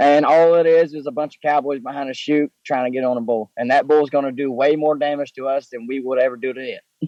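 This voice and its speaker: With a Southern US accent, a man talks at a fairly quick pace. His fairly high voice stays monotone and flat. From Mississippi, US South. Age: 20s. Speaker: professional bull rider. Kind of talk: interview.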